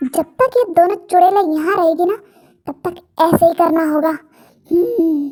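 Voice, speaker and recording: At a fairly slow pace, a woman uses a put-on character voice with extremely high pitch. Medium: fan dub.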